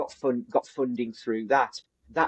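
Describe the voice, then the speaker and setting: A man talks with a West Midlands accent. The sound is dry and close, with no echo. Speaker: business coach. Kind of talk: business discussion. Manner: halting, many restarts.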